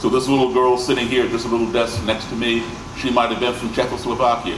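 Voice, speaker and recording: Amid noticeable background noise and audible room echo, a man with an American accent and a medium pitch talks at a very fast pace. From grew up abroad and in the US. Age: 60s. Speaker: musician and speaker. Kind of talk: presentation to audience. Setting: stage with audience.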